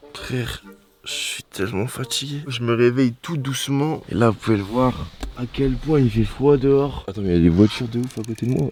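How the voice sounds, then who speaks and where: A man speaks at a moderate pace with medium pitch and ordinary pitch variation. Music plays in the background. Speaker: YouTuber. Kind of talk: vlog. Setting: in a car. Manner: casual.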